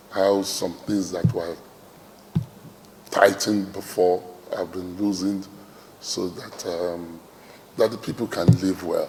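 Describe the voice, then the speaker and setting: Amid noticeable background noise, a man with a very deep, low pitch speaks in a monotone, flat intonation with long, frequent pauses. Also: fairly slow pace. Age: 60s. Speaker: traditional ruler. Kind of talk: interview speech. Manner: hesitant, many fillers.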